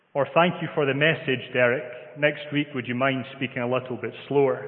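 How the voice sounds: Audible room echo surrounds a man speaking in a Scottish accent. His pitch is medium and his pace fairly quick. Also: fairly even intonation.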